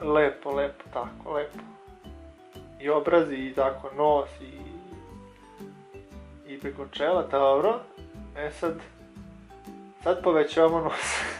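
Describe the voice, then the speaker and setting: A man speaks at a fairly high pitch with fairly even intonation. His loudness swings widely, and music plays in the background. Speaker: amateur voiceover narrator. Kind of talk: improvised humorous voiceover of makeup tutorial. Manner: hesitant, joking.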